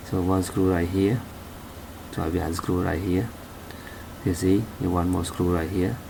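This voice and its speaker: A man with a non-native accent and a very deep, low voice talks at a moderate pace, with audible room echo and noticeable background noise. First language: not English. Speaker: car repair hobbyist. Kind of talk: tutorial. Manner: halting.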